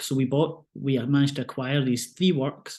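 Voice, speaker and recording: A dark, mellow tone with fairly even intonation and a Scottish accent, over a quiet background. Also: man. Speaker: museum curator. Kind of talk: online art talk presentation.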